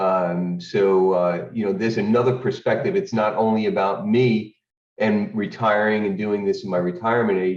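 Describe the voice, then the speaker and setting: This man has an ordinary speaking voice, fairly low in pitch, using fairly even intonation, very even loudness and a moderate pace. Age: 60s. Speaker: retiree learning trading. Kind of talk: casual testimony.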